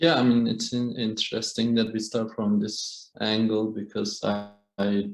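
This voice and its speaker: A man's fairly low voice, monotone and flat, with a Kurdish accent and music in the background. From Kurdish area of Turkey. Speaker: artist. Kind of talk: panel discussion. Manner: halting.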